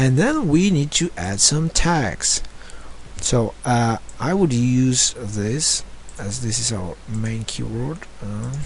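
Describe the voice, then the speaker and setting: A man with a non-native accent at a very slow pace. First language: not English. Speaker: online marketing tutor. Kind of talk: screen-share tutorial. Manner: halting, many fillers.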